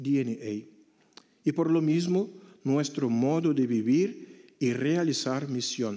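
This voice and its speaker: A man with a Portuguese accent talks at a very slow pace in a fairly high pitch and a dark, mellow tone. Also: ordinary pitch variation. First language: Portuguese (speaking Spanish). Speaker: missionary priest. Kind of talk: conference talk.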